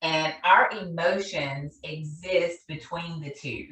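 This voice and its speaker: A woman with a Southern US accent talks in an animated tone over noticeable background noise. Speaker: therapist and conference speaker. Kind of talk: conference presentation. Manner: loud, animated.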